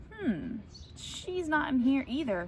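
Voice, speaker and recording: A female-sounding voice puts on a character voice pitched high. Background noise is clearly audible. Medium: read story. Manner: playful.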